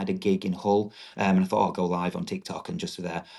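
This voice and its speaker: A man speaks with a strong northern English accent against a quiet background. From northern England, Doncaster, South Yorkshire. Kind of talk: podcast interview.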